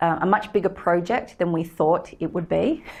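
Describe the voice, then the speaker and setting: Speech moves at a moderate pace with ordinary pitch variation, in an Australian accent. The recording is very clean, with a silent background. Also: woman. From Australia, Sydney. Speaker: company co-founder and director. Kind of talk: guest lecture. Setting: lecture room with audience. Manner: hesitant, many fillers.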